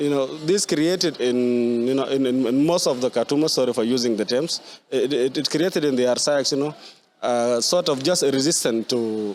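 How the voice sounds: At a moderate pace with few pauses, a man speaks at medium pitch in a slightly mellow tone with ordinary pitch variation.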